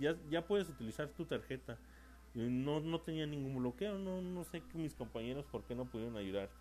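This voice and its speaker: Speaking with a central Mexican accent, a man uses lively intonation at a moderate pace. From Mexico, San Luis Potosí. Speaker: podcaster. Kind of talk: casual monologue. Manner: hesitant, many fillers.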